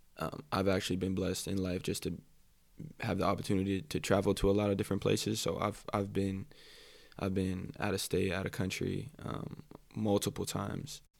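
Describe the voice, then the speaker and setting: A man talks at a fairly quick pace in a very deep, low pitch with vocal fry and fairly even intonation, on a very clean recording with a silent background. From Hawaii, rural Big Island. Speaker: guest from Hawaii. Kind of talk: casual chat.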